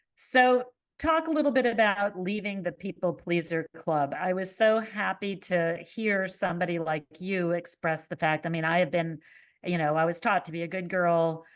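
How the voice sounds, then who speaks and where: A woman with a normal speaking voice talks at a moderate pace in a fairly low pitch, with ordinary pitch variation. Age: 60s. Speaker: podcast host. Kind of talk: interview.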